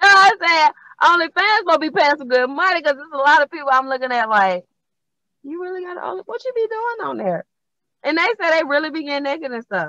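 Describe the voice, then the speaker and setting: A woman in a Southern US accent speaks very fast with a raised, projected voice, a high pitch, very wide pitch swings, big swings in loudness and a bright, sharp tone, all in a dry, close sound with no echo. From Birmingham, Alabama. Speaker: rapper. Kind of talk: interview answer. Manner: charismatic.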